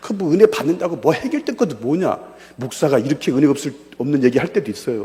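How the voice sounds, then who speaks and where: Noticeable background noise surrounds a man talking at a very fast pace and a fairly high pitch. His tone is animated, and his intonation is lively. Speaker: pastor and evangelism lecturer. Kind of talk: seminar lecture with personal testimony. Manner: animated, conversational.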